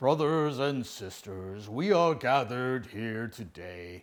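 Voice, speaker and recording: Put-on character voice from a man, solemn and theatrical, medium pitch, fairly slow pace, on a very clean recording with a silent background. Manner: solemn, theatrical pulpit delivery.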